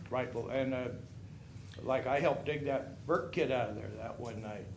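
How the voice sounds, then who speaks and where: Over noticeable background noise and audible room echo, a man with a medium pitch speaks at a moderate pace. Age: 60s. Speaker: resident speaking at public comment. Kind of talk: public comment at city council. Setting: city council meeting. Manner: casual, rambling and conversational.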